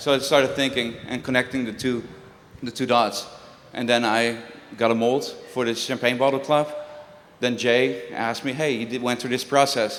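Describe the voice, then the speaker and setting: A man with a Dutch accent at a medium pitch and moderate pace, with long, frequent pauses and audible room echo. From Netherlands. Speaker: juggler and prop designer. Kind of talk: talk to a live audience. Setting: stage with audience. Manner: conversational, animated.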